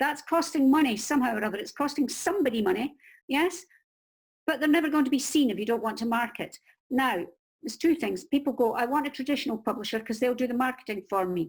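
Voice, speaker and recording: Speaking at a very fast pace in a Scottish accent, a woman with a high pitch uses lively intonation on a very clean recording with a silent background. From Scotland. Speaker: crime novelist and book marketing coach. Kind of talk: interview giving advice. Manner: animated.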